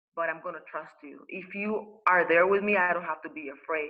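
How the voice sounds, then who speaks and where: Using ordinary pitch variation, a woman with a Spanish accent talks at a medium pitch and moderate pace. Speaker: spiritual teacher and life coach. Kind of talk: interview. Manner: halting, many fillers and repetitions.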